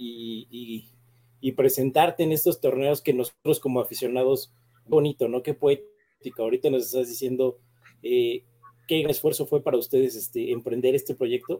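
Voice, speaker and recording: Recorded dry and close with no echo, a man speaks in a dark, mellow tone with fairly even intonation. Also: medium pitch for a man, moderate pace. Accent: Mexican. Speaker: podcast co-host. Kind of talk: casual chat.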